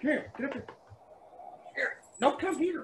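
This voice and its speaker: Loud and at an extremely high pitch, a man talks at a moderate pace. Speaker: sign carver, first responder. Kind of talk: casual chat. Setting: video call.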